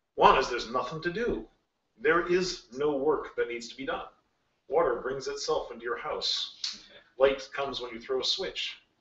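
A man talks at a moderate pace with big swings in loudness, and audible room echo surrounds him. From Alaska (rural bush). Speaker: games industry executive; guest lecturer. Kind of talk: lecture. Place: classroom. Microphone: camera far.

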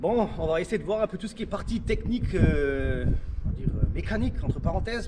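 A man with a Lorraine accent at a moderate pace, over noticeable background noise. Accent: regional Lorraine. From Lorraine, France. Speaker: car YouTuber. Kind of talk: casual car review chat. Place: street. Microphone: camera far.

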